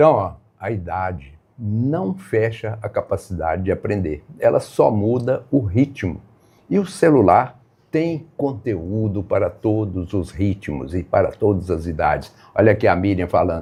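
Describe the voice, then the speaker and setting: Pitch swinging very widely, a man's somewhat breathy voice unfolds fairly slowly. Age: 70s. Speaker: live stream host teaching phone use to seniors. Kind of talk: live stream talk to viewers.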